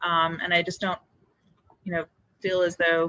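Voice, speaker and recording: A woman speaks loudly at a fairly low pitch with a bright, sharp tone. The sound is dry and close, with no echo. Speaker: land bank board member. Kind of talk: public board meeting report. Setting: public meeting room. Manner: halting, many fillers.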